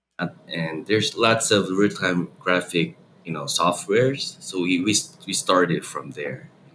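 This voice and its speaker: A man with a Korean accent has a very deep, low pitch and a bright, sharp tone. He talks at a fairly slow pace with ordinary pitch variation. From Guatemala. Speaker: tech company CEO. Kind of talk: interview.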